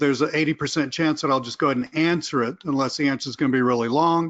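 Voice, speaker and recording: A man speaks with a Southern US accent, his pitch fairly high for a man. His pitch varies an ordinary amount over a quiet background. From US South. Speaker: online marketing trainer. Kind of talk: webinar presentation. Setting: live webinar. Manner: animated.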